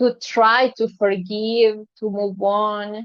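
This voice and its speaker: A woman's fairly high-pitched voice with fairly even intonation. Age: 30s. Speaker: lifestyle influencer. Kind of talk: personal vlog monologue. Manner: hesitant, many fillers.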